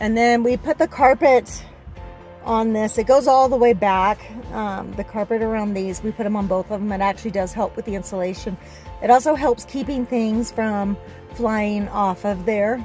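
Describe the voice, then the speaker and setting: Faint music plays in the background. The sound is dry, with no echo. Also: woman, ordinary pitch variation, moderate pace. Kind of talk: casual vlog chat. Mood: pleased, relaxed. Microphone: phone near.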